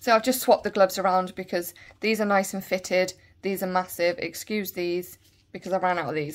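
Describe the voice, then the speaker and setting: A woman speaks at a very fast pace with a Bristol accent. The recording is very clean, with a silent background. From England, Bristol. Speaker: nail and beauty YouTuber. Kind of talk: product review tutorial. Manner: casual, chatty.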